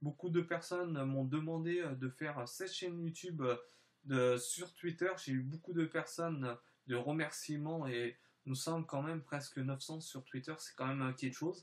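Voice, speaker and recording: A man speaks at a fairly slow pace, his fairly high pitch moving with ordinary variation. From France / Spain (mixed), time in southern France. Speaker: YouTuber. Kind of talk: vlog channel presentation. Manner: halting, many hesitations.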